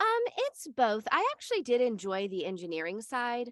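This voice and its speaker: A woman speaks at a moderate pace, recorded dry and close with no echo. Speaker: audiobook narrator. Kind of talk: interview answer.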